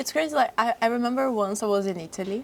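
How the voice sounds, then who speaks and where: Speaking at a fairly quick pace, a woman with a Portuguese accent uses ordinary pitch variation. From Brazil. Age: young. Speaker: fashion model. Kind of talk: casual chat. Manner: halting, non-fluent English.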